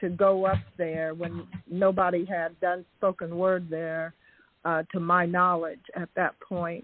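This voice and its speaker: A woman speaks with an American accent at medium pitch. Her pace is very slow. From Indiana. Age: 60s. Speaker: caller. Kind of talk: call-in tribute. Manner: halting.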